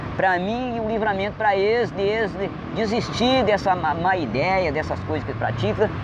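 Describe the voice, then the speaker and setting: A man speaks in a high voice with lively intonation. The recording has audible room echo and noticeable background noise. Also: moderate pace. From Minas Gerais interior, raised in Espírito Santo. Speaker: amateur singer-songwriter. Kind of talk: street interview. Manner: halting.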